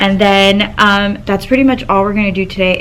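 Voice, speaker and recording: There is audible room echo and noticeable background noise. Over it, a woman speaks at a medium pitch. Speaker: teacher vlogger. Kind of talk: casual vlog chat. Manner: halting, many fillers.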